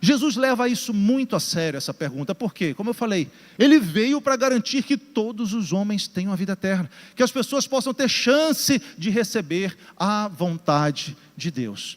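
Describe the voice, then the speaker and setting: With very wide pitch swings, a man speaks at a high pitch. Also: moderate pace. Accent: Pará. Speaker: pastor. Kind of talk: sermon. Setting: church with congregation, also broadcast.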